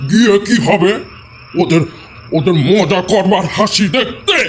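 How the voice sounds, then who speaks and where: A man does a put-on character voice pitched high. He goes at a fairly slow pace amid clear background noise. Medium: audio drama.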